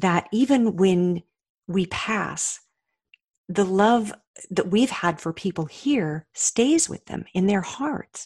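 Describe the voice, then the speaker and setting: Very slowly and somewhat breathily, a woman with an American accent speaks at medium pitch with lively intonation, the sound dry and close without echo. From Colorado. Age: 60s. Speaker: author and motivational speaker. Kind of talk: interview. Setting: remote call.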